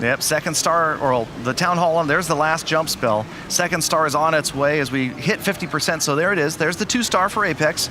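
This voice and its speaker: With hardly any pauses and very even loudness, a man talks at a fairly quick pace and a fairly high pitch over noticeable background noise. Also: ordinary pitch variation. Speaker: esports commentator. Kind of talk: live commentary. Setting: studio. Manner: animated.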